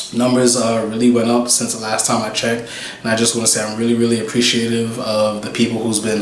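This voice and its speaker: A man's medium-pitched voice in a New York accent, monotone and flat, with audible room echo and noticeable background noise. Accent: New York City. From US Northeast, Brooklyn, New York. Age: 20s. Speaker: YouTuber. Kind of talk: casual Q and A vlog. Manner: casual, hesitant with many fillers.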